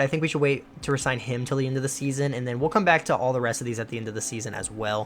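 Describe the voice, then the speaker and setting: Upbeat in tone, a man speaks. His voice sits at a medium pitch. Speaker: gaming youtuber. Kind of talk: gameplay commentary. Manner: fast; casual, upbeat.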